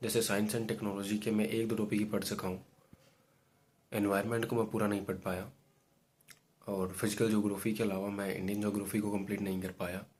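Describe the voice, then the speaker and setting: At a moderate pace, a man talks in a monotone, flat intonation with a fairly low pitch. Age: 20s. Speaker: exam aspirant vlogger. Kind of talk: personal video diary. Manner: hesitant, many fillers.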